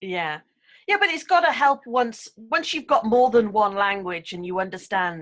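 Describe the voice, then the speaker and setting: A woman with an English accent, fairly high-pitched, at a moderate pace, her pitch swinging very widely. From England. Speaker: English speaking coach and author. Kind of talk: casual interview chat.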